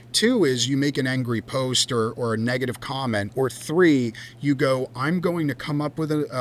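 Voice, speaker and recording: Someone with a strong New Jersey accent talks at a moderate pace with ordinary pitch variation, against noticeable background noise. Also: man. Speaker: cannabis company founder and CEO. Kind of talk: podcast interview. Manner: animated.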